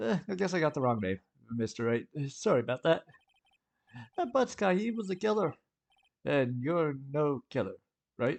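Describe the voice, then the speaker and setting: In a gruff, put-on character voice, a man speaks at a fairly high pitch with very wide pitch swings, a moderate pace and long, frequent pauses, with a dry, close sound and no echo. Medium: game stream. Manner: gruff, blustery, keeps saying pal.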